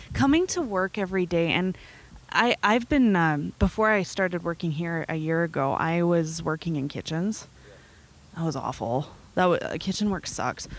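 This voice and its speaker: An unremarkable speaking voice from a woman, pitched fairly low, moving at a moderate pace with ordinary pitch variation. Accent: Canadian. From Nelson, British Columbia, Canada. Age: 20s. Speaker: coffee shop owner. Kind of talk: interview.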